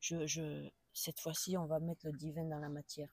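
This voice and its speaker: A dark, mellow tone at a fairly slow pace, dry and close with no echo. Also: woman. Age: 70s. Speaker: pilgrim. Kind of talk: interview conversation. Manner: hesitant, many fillers.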